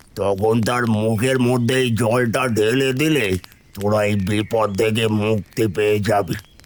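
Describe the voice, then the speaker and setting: In a cartoonish character voice, a man talks at a fairly slow pace and medium pitch, with fairly even intonation and very even loudness. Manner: authoritative, commanding.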